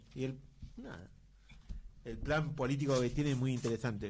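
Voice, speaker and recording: Through audible room echo, a man with a medium pitch and a somewhat breathy voice speaks at a moderate pace with fairly even intonation. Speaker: radio host. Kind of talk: radio interview.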